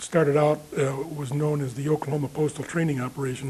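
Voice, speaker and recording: Over noticeable background noise, a man with an American accent speaks at a fairly quick pace with a fairly high pitch and monotone, flat intonation. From Chicago, US Midwest. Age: 70s. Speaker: war veteran. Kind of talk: oral history interview. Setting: veterans reunion interview. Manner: halting, many fillers.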